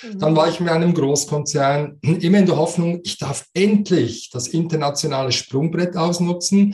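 This man talks at a moderate pace with hardly any pauses. His pitch is high for a man, with ordinary variation. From Switzerland. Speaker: coach and speaker. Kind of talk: interview.

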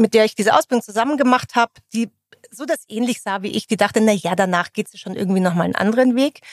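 A woman talks in a normal speaking voice with a fairly high pitch and ordinary pitch variation. The sound is dry and close, with no echo. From Bavaria, Munich area. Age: 40s. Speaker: HR executive. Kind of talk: interview conversation. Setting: company office.

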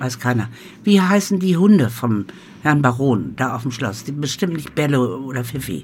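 A woman talks at a moderate pace with a very deep, low pitch. Her pitch swings very widely. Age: 80s+. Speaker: home cook running a supper club. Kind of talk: casual chat.

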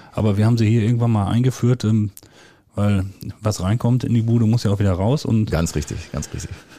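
A man speaks at a fairly quick pace with ordinary pitch variation. His pitch is fairly low, and his tone is dark and mellow. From Westphalia, Germany (near Soest). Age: 40s. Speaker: village head. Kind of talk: casual chat. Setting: at a kitchen table, in a home.

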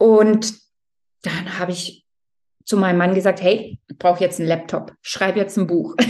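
At a fairly slow pace with long, frequent pauses, a woman speaks at a medium pitch with ordinary pitch variation and big swings in loudness. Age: 40s. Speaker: novelist. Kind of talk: interview. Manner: hesitant with fillers.

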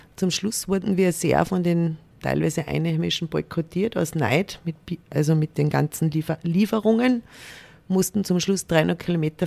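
A plain, everyday voice from a woman, fairly low-pitched, moderate in pace, with ordinary pitch variation. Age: 40s. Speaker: corporate diversity manager. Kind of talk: interview.

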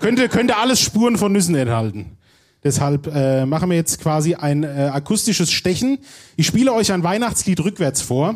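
A man speaks in a high voice at a moderate pace. His pitch swings very widely. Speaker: podcast host. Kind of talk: live show before audience. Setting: stage with audience.

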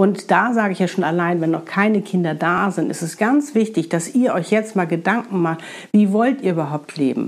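Her pitch sits at a medium level, and this woman speaks with lively intonation. She keeps a moderate pace. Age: 50s. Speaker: spiritual podcast host. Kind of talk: monologue, spiritual advice podcast. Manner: animated.

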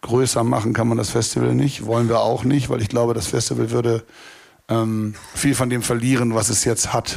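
Medium-pitched male speech at a moderate pace, fairly even in intonation, against noticeable background noise. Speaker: festival promoter. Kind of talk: live panel talk. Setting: stage with audience at a festival.

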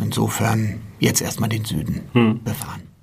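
A man talks in a monotone, flat delivery at a fairly low pitch. The recording carries noticeable background noise and audible room echo. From Germany, Frankfurt. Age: 40s. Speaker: sports club president. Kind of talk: interview.

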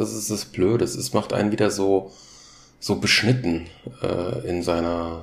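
A man speaks with a Hessian accent at a fairly slow pace. His voice is somewhat breathy. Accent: Hessian dialect coloring. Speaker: solo podcaster. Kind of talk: casual monologue. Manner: halting, many fillers and repetitions.

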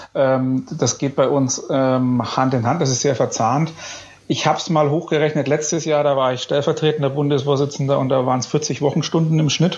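A man talks at fairly high pitch in a monotone, flat delivery. Noticeable background noise is present. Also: moderate pace. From Bavaria, Upper Franconia (Bayreuth). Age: 30s. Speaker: business association chairman and company executive. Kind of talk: podcast interview.

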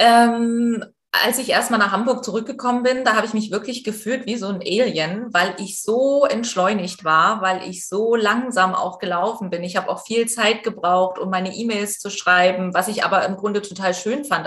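A woman at medium pitch and moderate pace, with ordinary pitch variation and noticeable background noise. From eastern Germany. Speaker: presenter and journalist. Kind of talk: interview.

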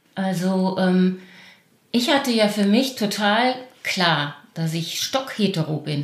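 Lively intonation marks a woman's medium-pitched voice at a very slow pace. Audible room echo is present. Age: 50s. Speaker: primary school teacher. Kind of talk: casual interview conversation.

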